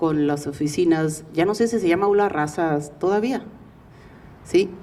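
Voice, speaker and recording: A woman talks at a fairly quick pace. Her pitch sits in the middle range. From Mexico, raised in Porterville, California. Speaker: community nonprofit representative. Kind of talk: public speech. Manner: bilingual code-switching.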